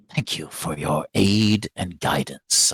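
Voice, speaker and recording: In a put-on character voice, a man speaks at a fairly low pitch and a fairly slow pace, the sound dry and close with no echo. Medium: actual play. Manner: smug, teasing.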